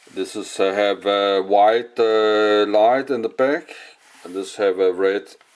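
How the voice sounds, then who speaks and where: A man at a fairly low pitch with a Danish accent, very slow in pace, his intonation fairly even. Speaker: hobbyist vlogger. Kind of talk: casual video blog. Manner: halting, many filler sounds.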